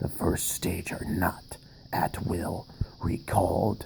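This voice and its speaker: A man puts on a character voice, talking at a very slow pace over clear background noise. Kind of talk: horror narration. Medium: read story. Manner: dramatic, halting.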